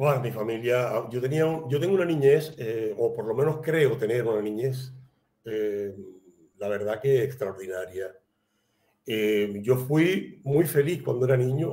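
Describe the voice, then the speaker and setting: A man talks at a fairly slow pace in a dark, mellow tone. His voice is somewhat breathy, with ordinary pitch variation. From Cuba, Havana; Cuba. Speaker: writer and playwright; guest. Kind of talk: interview. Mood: reflective, calm. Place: home room.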